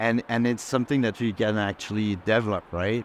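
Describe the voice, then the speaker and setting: Speaking in a Quebec accent, a man talks at medium pitch. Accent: French Canadian accent in English. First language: French. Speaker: game art director. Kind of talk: panel discussion. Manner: halting, many repetitions.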